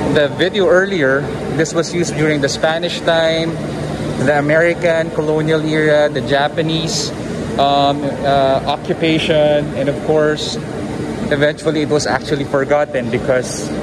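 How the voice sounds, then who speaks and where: Loud background noise fills the recording. The speaking runs at a moderate pace. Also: man. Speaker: travel vlogger. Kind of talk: casual vlog chat. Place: tunnel cave. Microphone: phone near.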